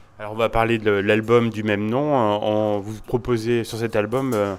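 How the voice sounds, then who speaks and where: The speaker is a man with a fairly low pitch. His intonation is monotone and flat. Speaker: radio host. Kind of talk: interview questions.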